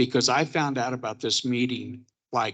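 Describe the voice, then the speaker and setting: A man speaks in a plain, everyday voice at medium pitch and a moderate pace. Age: 60s. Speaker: local resident. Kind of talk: public comment. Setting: public meeting in a church.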